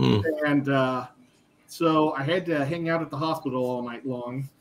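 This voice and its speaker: Fairly slow in pace, the man's speech varies in pitch in an ordinary way. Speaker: livestream host. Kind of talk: casual livestream chat. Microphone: webcam.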